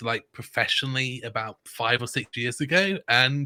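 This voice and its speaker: A man speaks at medium pitch with a bright, sharp tone and fairly even intonation. His pace is fairly slow, and the sound is dry and close with no echo. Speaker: board game designer and publisher. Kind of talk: casual interview chat. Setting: live stream video call.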